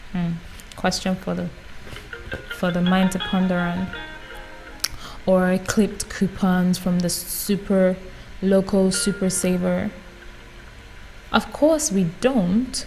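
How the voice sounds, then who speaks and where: A woman speaks at a very slow pace, leaving long, frequent pauses. Her intonation stays fairly even, with music playing in the background. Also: medium pitch for a woman. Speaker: YouTuber reading books aloud. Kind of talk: non-fiction book reading.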